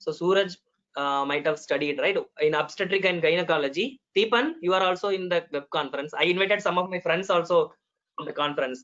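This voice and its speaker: The speaker talks at a very fast pace in a Tamil accent. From Tamil Nadu, India. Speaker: medical doctor, panelist. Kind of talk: web conference talk. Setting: video call. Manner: hesitant, with fillers.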